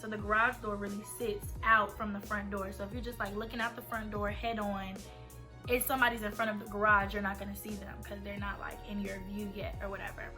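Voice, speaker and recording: A woman rattles off her words at a very fast pace while music plays in the background. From Atlanta, Georgia. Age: 20s. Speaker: college student. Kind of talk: casual storytime talk to camera.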